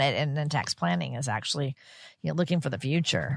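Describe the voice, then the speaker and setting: Against a quiet background, with a dry, close sound and no echo, a woman with a very deep, low pitch and vocal fry talks at a very fast pace in very wide pitch swings. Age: 60s. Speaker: radio co-host. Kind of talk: radio host patter, upbeat intros and interview questions. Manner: bright, friendly, engaged, laughs easily.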